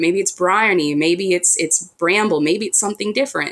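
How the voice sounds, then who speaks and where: Using a normal speaking voice, a woman speaks at a fairly quick pace with medium pitch and ordinary pitch variation. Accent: American. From United States. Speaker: author. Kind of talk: interview.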